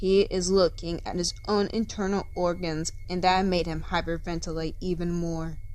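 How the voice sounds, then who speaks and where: In a normal speaking voice, a woman talks at a fairly slow pace and medium pitch, her intonation fairly even while her loudness swings widely. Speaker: fanfiction narrator. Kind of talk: fiction reading.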